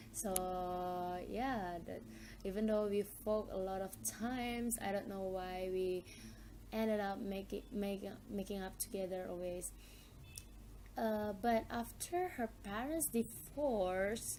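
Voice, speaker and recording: Speaking in a medium pitch with an Indonesian accent, a woman goes at a very slow pace with long, frequent pauses, fairly even intonation and a dark, mellow tone. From Indonesia, Minangkabau region. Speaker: university student. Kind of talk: mock speaking test interview. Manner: hesitant, with fillers.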